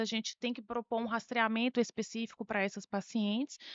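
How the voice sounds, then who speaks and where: A woman speaks at a fairly quick pace with fairly high pitch. Her intonation stays fairly even. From Bahia, Brazil. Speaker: doctor, breast specialist. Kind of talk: health interview.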